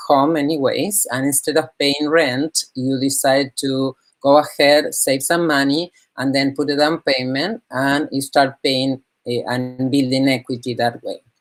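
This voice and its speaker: With a Spanish accent and fairly even intonation, a woman speaks fairly slowly in a very deep, low pitch. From Argentina, Buenos Aires. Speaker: real estate broker. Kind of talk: interview. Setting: live online discussion.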